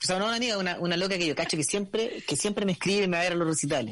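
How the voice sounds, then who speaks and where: A man with a Chilean accent talks in a high voice against a quiet background. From Chile, Santiago (La Pintana). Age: 40s. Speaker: musician. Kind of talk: casual chat.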